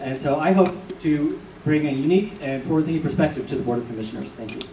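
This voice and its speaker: A man with an American accent speaks very fast with big swings in loudness. Audible room echo and noticeable background noise fill the recording. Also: fairly high pitch for a man, ordinary pitch variation. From Georgia, US South. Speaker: political candidate. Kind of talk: candidate forum speech.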